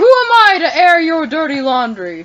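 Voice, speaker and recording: A woman does a put-on character voice at an extremely high pitch. Her pitch swings very widely at a moderate pace. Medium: actual play. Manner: pompous, condescending.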